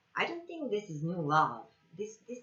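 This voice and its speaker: Noticeable background noise sits behind this recording. A woman speaks at a medium pitch with a non-native accent. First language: not English. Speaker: tarot reader. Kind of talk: tarot reading. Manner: halting, with many fillers.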